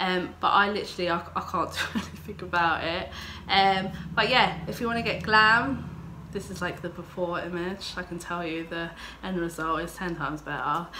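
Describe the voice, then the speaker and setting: With an English accent, a woman speaks at a moderate pace in a fairly low, fairly even voice. The recording has audible room echo and noticeable background noise. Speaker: beauty vlogger. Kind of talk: makeup tutorial vlog. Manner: casual, filler-heavy.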